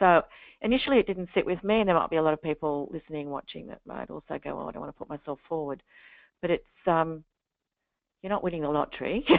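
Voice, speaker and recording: A woman with an Australian accent, fairly low pitch, ordinary pitch variation, a very fast pace, long, frequent pauses and big swings in loudness. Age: 60s. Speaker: literacy and numeracy educator. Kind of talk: webinar interview. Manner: halting.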